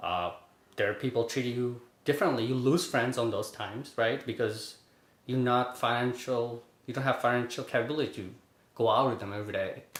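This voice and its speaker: A man at a medium pitch, with a fairly quick pace, fairly even intonation and audible room echo. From Bangladesh, moved to Brooklyn at 11. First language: Bengali. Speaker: finance worker. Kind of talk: interview. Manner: casual, filler-heavy.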